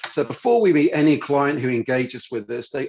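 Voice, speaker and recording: A man with a British accent at a fairly quick pace. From United Kingdom. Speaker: financial adviser. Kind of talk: business presentation. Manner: hesitant, many fillers.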